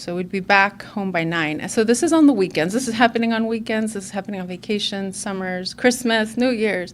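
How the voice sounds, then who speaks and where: A woman with a Spanish accent at a medium pitch, fairly quick and with hardly any pauses, showing ordinary pitch variation. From Illinois suburbs, Mexican-American family. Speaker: recovery meeting speaker. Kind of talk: personal testimony talk. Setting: conference stage with audience. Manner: hesitant with frequent fillers.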